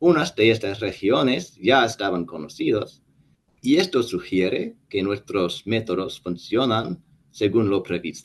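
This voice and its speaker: A man with an English accent, fairly low in pitch, with lively intonation and a fairly slow pace. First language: English (speaking Spanish). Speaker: statistics professor. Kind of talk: lecture. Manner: halting, frequent self-corrections.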